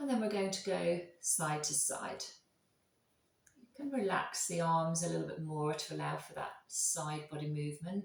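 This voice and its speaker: Quiet and calm with a soothing tone, a woman speaks in a fairly low pitch at a moderate pace, with ordinary pitch variation and big swings in loudness. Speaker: yoga instructor. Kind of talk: guided yoga class. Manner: calm, soothing.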